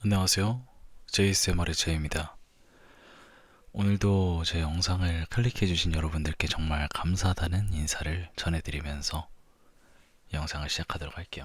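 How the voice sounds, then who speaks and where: Very deep, low pitch from a man, somewhat breathy, with fairly even intonation and long, frequent pauses, in a very clean recording against a silent background. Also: moderate pace. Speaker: ASMR creator. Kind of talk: ASMR talk. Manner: soft-spoken.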